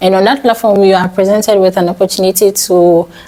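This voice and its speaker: Noticeable noise behind a fairly even, level delivery. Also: woman. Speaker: software developer and vlogger. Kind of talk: vlog tutorial talk. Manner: fast.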